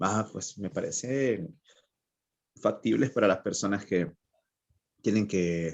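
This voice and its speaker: Speaking at a very slow pace with a Honduran accent, a man uses a fairly low pitch and ordinary pitch variation. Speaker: writer. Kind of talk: interview.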